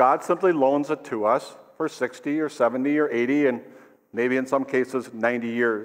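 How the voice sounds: A man speaks at medium pitch and a moderate pace. His intonation is fairly even.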